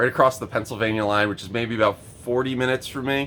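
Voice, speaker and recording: Loud and very fast, a man talks at a medium pitch with a bright, sharp tone. His intonation stays monotone and flat. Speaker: video game collector vlogger. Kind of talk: casual vlog. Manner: hesitant, many fillers.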